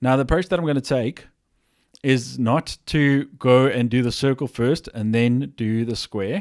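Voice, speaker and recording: His pitch sits in the medium range with ordinary variation. The man's recording is very clean with a silent background, and the sound is dry and close with no echo. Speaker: programming teacher. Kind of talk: tutorial. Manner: fast.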